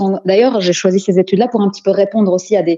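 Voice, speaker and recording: A woman speaks at a very fast pace in a medium pitch, her dark, mellow tone carried on fairly even intonation. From Belgium, Antwerp, of Moroccan descent. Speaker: psychopedagogue, life coach. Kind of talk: interview.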